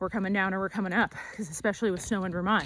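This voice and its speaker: A woman talks at a very fast pace in a medium pitch. The recording is very clean, with a silent background. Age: 30s. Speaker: travel vlogger. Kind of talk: casual vlog narration. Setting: outdoors. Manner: animated.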